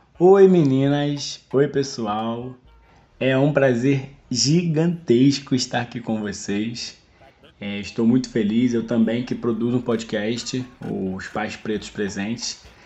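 Over background music, a man with a medium pitch speaks at a very slow pace with ordinary pitch variation. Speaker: nurse, health worker and podcast host. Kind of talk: casual chat interview.

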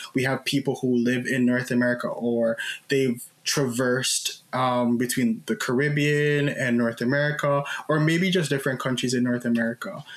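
The speech comes at a moderate pace. Noticeable background noise runs underneath. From Jamaica. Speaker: podcast host. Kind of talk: casual panel discussion.

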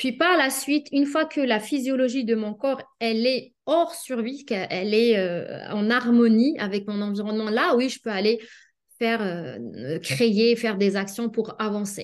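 An unremarkable speaking voice from a woman, fairly high in pitch, with lively intonation at a fairly slow pace. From Algeria. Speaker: pharmacist and life coach. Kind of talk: interview.

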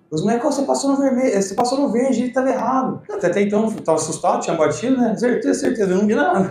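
Through noticeable background noise and audible room echo, a man talks at a very fast pace. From Brazil, Ribeirão Preto (São Paulo interior). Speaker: insurance franchise owner. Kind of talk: casual interview chat.

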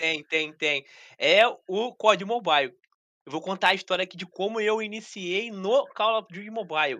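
The speaker proceeds at a middling speed, with little sound in the background. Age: 30s. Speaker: mobile gaming content creator. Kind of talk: casual chat. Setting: live stream.

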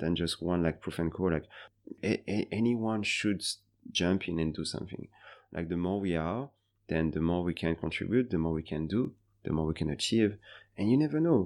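On a very clean recording with a silent background, the speaker uses ordinary pitch variation and a French accent. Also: man. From France, Paris. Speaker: bartender and bar manager. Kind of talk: interview. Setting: in person, Singapore.

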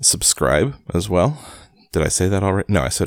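The reading voice is natural. Its intonation is lively.

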